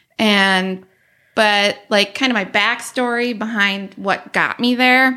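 A woman with an Upper Midwest accent and a fairly high pitch speaks at a very slow pace in a bright, sharp tone, with fairly even intonation and very even loudness. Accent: Upper Midwest American. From Northwest Wisconsin, US. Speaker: web and graphic designer. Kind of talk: podcast interview, personal story.

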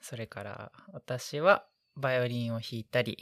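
Very clean recording of a woman, silent background. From Tokyo, Japan. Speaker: medical student. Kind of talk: casual interview chat.

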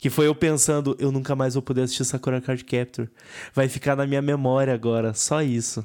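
The recording is very clean with a silent background. A man at medium pitch talks at a fairly quick pace in a monotone, flat intonation with very even loudness. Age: 20s. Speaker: podcast host. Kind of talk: casual chat.

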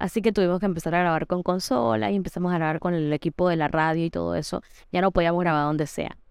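Against a quiet background, a woman with a fairly low voice speaks very fast with ordinary pitch variation. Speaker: podcast host. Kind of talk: casual chat.

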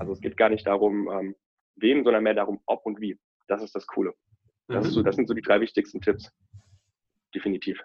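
A man with a fairly low pitch and fairly even intonation talks at a fairly quick pace, broken by long, frequent pauses. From Rhineland, Germany. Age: 20s. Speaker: financial advisor. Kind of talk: interview.

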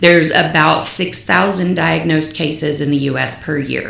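A woman with a West Texas accent speaks at a moderate pace with a very deep, low pitch. There is noticeable background noise and audible room echo. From Lubbock, West Texas. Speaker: small business owner and stepmother with illness. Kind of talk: interview, personal testimony.

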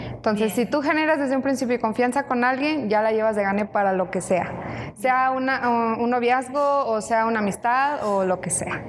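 Over noticeable background noise, a woman talks at a moderate pace with hardly any pauses, her fairly high voice showing ordinary pitch variation. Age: 20s. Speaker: coffee shop operations coordinator and student. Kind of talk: casual chat. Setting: coffee shop.

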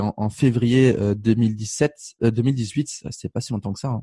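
A man with a medium-pitched, dark, mellow, somewhat breathy voice speaks in a monotone, flat way, with a dry, close sound and no echo. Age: 20s. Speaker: life coach and speaker. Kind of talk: interview. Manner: casual.

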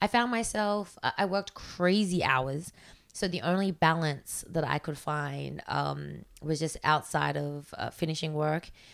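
A woman with an Australian accent speaks in a very deep, low pitch, captured in a very clean recording with a silent background. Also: ordinary pitch variation, fairly slow pace. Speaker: fitness coach. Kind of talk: casual chat.

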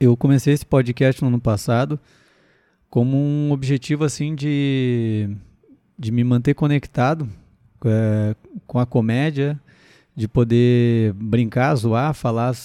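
Very slow, fairly even speech from a man at a medium pitch, dark and mellow in tone, with a dry, close sound and no echo. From southern Brazil, Rio Grande do Sul (Sapiranga, near Porto Alegre). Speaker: comedian and podcast host. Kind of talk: casual solo podcast monologue. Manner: chatty and hesitant, with fillers.

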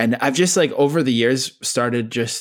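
On a very clean recording with a silent background, a man talks at medium pitch and moderate pace in a normal speaking voice. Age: 30s. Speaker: music journalist. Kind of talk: casual chat.

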